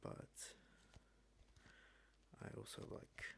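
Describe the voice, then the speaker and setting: The man is soft-spoken. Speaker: ASMR creator. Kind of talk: ASMR talk to camera.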